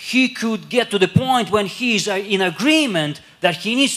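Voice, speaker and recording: A man at a fairly slow pace. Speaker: English interpreter. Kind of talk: sermon interpretation. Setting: church. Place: church. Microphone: handheld.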